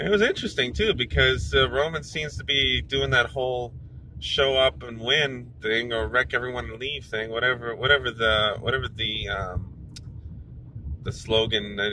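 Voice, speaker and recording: Light background noise sits under a dry sound with no echo. A man talks at a moderate pace with ordinary pitch variation. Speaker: driver vlogger. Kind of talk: casual vlog chat. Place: car. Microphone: phone near.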